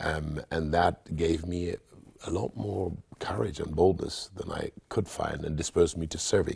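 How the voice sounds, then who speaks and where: A man speaks in a very deep, low voice with a somewhat breathy quality. His intonation stays fairly even, and his pace is fairly slow. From Nigeria. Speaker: pastor. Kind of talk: interview. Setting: studio.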